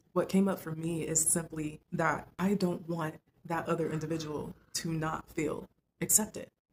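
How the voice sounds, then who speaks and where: A soft-spoken woman with a fairly low pitch talks at a moderate pace in a somewhat breathy voice. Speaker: lifestyle vlogger. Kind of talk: casual monologue to camera.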